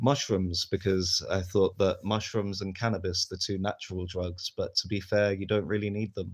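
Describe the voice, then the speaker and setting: Against a quiet background, a man with a southern English accent speaks in a flat monotone at a fairly low pitch. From London area, England. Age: 30s. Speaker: streamer. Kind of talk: casual live stream chat. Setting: live stream.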